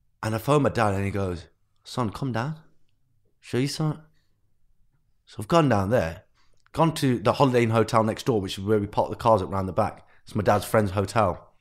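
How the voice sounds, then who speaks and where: In a very clean recording with a silent background, a man at a medium pitch talks at a fairly quick pace with ordinary pitch variation and long, frequent pauses. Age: 20s. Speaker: entrepreneur. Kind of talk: casual chat. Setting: studio.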